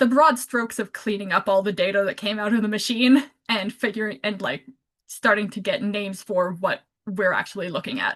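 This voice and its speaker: Fairly high in pitch, a woman speaks in a plain, everyday voice. Her pace is fairly quick, with ordinary pitch variation. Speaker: community science presenter. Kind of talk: presentation. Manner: casual, filler-heavy.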